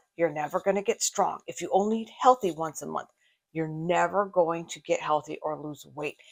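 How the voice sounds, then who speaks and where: Here a woman has an unremarkable speaking voice at medium pitch and a moderate pace. Her loudness swings a lot, while her pitch varies in an ordinary way. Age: 60s. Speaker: fitness reaction youtuber, personal trainer. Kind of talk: video reaction commentary.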